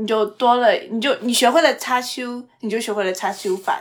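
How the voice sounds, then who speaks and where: Speaking at a fairly quick pace, a woman has a high pitch. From Xi'an, China. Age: 20s. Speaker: podcast host. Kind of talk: casual chat.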